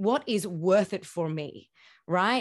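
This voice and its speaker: Against a quiet background, a woman speaks in an unremarkable speaking voice. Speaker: podcast host. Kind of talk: interview.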